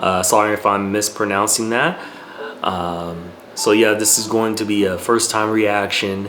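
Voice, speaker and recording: Through noticeable background noise and audible room echo, a man with a fairly low pitch talks at a fairly slow pace in fairly even intonation. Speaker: movie reaction youtuber. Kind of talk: casual reaction video intro. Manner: halting, many fillers; self-described tongue-tied.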